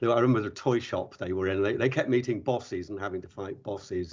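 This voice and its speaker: A man talks very fast at a fairly low pitch. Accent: English. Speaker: podcast co-host, secondary school educator. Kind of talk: podcast interview.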